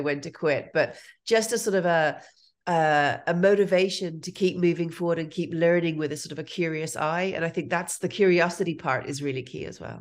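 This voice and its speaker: The recording is very clean, with a silent background. A woman speaks at a fairly low pitch with ordinary pitch variation. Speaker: entrepreneurship lecturer. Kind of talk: interview. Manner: careful enunciation.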